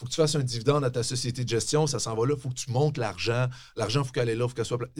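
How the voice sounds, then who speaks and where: With ordinary pitch variation, a man speaks at a medium pitch in a somewhat breathy voice. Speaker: tax specialist and professor. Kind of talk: casual interview. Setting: studio.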